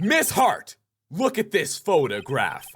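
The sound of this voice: A man puts on a character voice, pitched fairly high, with a slightly husky edge. He speaks slowly, and his pitch swings very widely.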